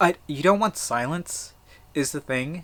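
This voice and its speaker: A man's voice at a fairly slow pace, with ordinary pitch variation. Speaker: daily video blogger. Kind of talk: casual monologue. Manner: frequent fillers, um and like.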